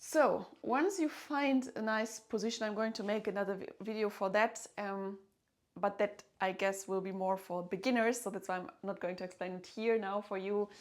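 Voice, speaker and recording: Delivered in a German accent, the speech keeps a moderate pace and ordinary pitch variation. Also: woman, medium pitch for a woman. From Germany. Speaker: violinist and music teacher. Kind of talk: tutorial. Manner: hesitant, with fillers.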